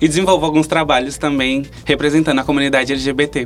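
A man with a fairly high pitch and monotone, flat intonation over music in the background. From Brazil, Pernambuco (Vitória de Santo Antão). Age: 20s. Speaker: nursing student and LGBT activist. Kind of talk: interview.

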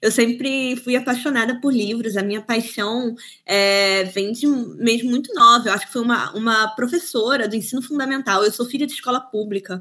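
Her tone is bright and sharp, with a fairly high pitch and ordinary pitch variation. The woman speaks with hardly any pauses. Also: moderate pace. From Brazil, Cabo Frio, Rio de Janeiro state. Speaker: book publisher. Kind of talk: interview.

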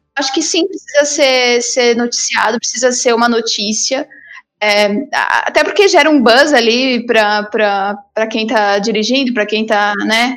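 A high-pitched female voice, its pace fairly slow. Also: ordinary pitch variation. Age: 20s. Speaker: advertising professional and content creator. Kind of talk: casual chat.

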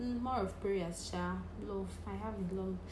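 Through noticeable background noise, a woman speaks at a very slow pace. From Nigeria, Cross River State. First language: Nigerian native language. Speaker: podcaster. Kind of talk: casual monologue. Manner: animated.

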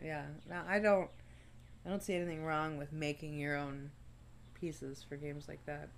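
A woman's very deep, low voice at a moderate pace, fairly even intonation, long and frequent pauses, and audible room echo. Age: 20s. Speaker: podcast co-host. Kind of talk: casual chat.

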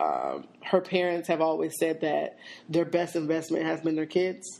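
This is a woman with a plain, everyday voice and a fairly low pitch. She speaks at a fairly slow pace with ordinary pitch variation. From Seattle. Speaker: podcast co-host. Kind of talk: casual chat.

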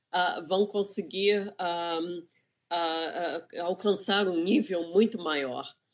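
Fairly low-pitched woman's voice with fairly even intonation, set against a quiet background. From Brazil, Rio de Janeiro. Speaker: planetary scientist. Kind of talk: panel discussion. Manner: halting, many fillers.

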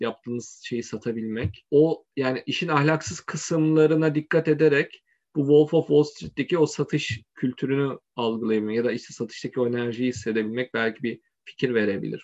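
In a dry, close sound with no echo and a quiet background, a man speaks at a moderate pace in a medium pitch with ordinary pitch variation and hardly any pauses. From Turkey, Izmir. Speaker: tech startup founder. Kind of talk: interview. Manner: hesitant, with fillers.

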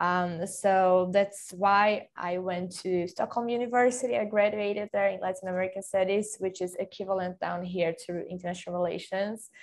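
At a moderate pace and with hardly any pauses, a woman with a Portuguese accent speaks in a medium pitch with monotone, flat intonation against a quiet background. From Brazil, Bragança Paulista then Sweden from age nine. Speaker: football industry professional. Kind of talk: interview. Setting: video call.

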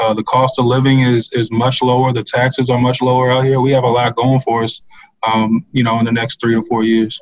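Fairly quick, monotone, flat delivery in an American accent, with very even loudness and music in the background. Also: man, medium pitch for a man. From Virginia, Orange County. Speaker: county economic development director. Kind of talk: casual chat.

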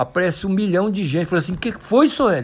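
In a very clean recording with a silent background, a man speaks in a high, animated voice. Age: 60s. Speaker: mountain bike athlete. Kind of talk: interview.

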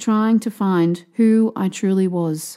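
A woman with an Australian accent speaks in a dark, mellow tone at medium pitch with ordinary pitch variation. The recording is very clean with a silent background. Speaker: author and podcast host. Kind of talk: audiobook reading.

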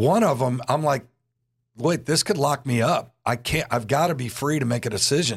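The voice is somewhat breathy, with ordinary pitch variation and a moderate pace. The recording is very clean and the background silent. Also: man, fairly high pitch for a man. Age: 60s. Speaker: church pastor and podcast host. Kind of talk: casual interview.

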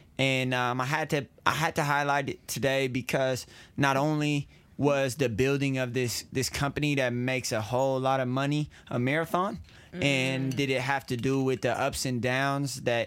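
A man's medium-pitched, ordinary speaking voice at a moderate pace with fairly even intonation. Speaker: podcast co-host. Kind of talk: casual chat. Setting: studio.

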